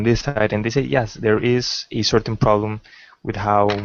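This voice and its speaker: Speaking at a fairly slow pace with a non-native accent, a man uses a fairly low pitch and fairly even intonation. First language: not English. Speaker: call-in participant. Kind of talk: online debate. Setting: video call livestream. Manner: halting.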